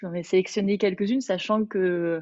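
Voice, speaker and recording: Over a quiet background, a woman talks at a moderate pace in a medium pitch with ordinary pitch variation. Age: 30s. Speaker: Bach flower consultant and Pilates teacher. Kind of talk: webinar presentation. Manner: hesitant, many fillers.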